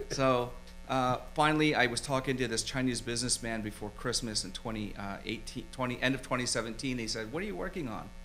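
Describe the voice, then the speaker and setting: Very fast male speech with an American accent and ordinary pitch variation, with audible room echo and music in the background. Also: medium pitch for a man. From Philadelphia, US. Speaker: screenwriter and film producer. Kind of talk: casual interview chat. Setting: studio.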